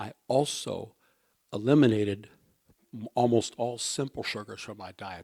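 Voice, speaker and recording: On a very clean recording with a silent background and a dry, close sound with no echo, a man speaks in an ordinary speaking voice at a moderate pace with ordinary pitch variation. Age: 60s. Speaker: health talk speaker. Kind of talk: personal health testimony talk. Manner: conversational, frequent okay.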